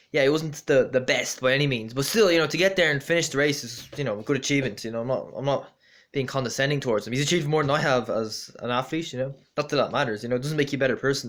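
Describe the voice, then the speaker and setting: In an Irish accent, a man speaks very fast at a fairly high pitch on a very clean recording with a silent background. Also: ordinary pitch variation. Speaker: amateur runner vlogger. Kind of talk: casual vlog monologue. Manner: halting, many fillers.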